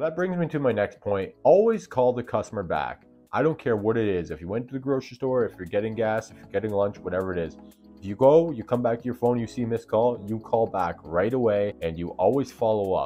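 Against faint music in the background, a man speaks at a very fast pace with big swings in loudness. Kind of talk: tutorial advice vlog. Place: home room. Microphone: lapel.

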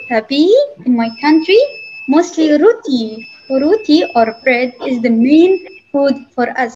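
Over light background noise, a woman with a high pitch and a dark, mellow tone talks at a fairly slow pace with lively intonation. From Yemen. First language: Arabic. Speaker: guest teacher. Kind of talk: classroom talk to children. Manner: halting. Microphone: video call.

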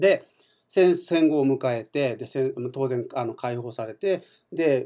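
With the background quiet, a man is talking. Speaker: community radio host; radio show host. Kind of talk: radio monologue; radio talk storytelling. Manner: many fillers, relaxed. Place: studio. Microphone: studio mic.

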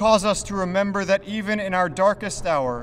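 Over light background noise, a man talks at a moderate pace in a high voice. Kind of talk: prayer invocation. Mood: solemn, reverent. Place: street. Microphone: podium.

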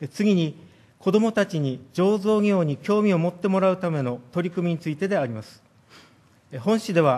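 This man's high-pitched voice carries lively intonation at a moderate pace. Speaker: city department head. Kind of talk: formal council answer. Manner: hesitant with fillers when unscripted. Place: hall. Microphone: podium.

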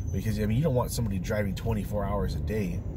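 A man speaks at a fairly low pitch. The sound is dry with no echo, and there is noticeable background noise. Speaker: commuter vlogger. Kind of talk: casual vlog chat. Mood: annoyed, ranting. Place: car. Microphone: phone near.

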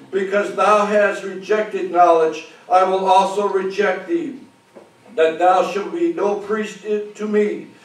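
A man with an American accent and a high pitch speaks at a fairly slow pace, with audible room echo. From United States. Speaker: preacher. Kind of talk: sermon. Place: church.

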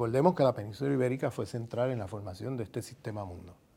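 With music behind him, a man speaks at a fairly quick pace. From Puerto Rico. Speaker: sociologist and university professor. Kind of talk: interview answer. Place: home room.

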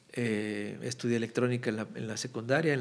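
Speaking with fairly even intonation, a man delivers his words. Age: 40s. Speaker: political cartoonist; podcast guest. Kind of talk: casual chat. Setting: studio. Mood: relaxed, warm, smiling. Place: studio. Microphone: studio mic.

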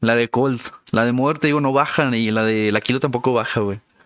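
At a moderate pace, the speech runs over background music. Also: man. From Mexico, Durango. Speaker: gaming streamer. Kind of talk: live gameplay stream commentary. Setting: live stream, home setup. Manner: animated.

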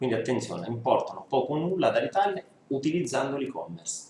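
At a fairly quick pace, a man with a medium pitch makes big pitch swings. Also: slightly mellow tone.

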